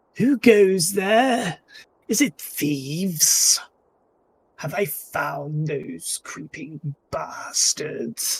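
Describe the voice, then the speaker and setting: This is a put-on character voice at a middle pitch. It moves at a very slow pace. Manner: gruff, suspicious.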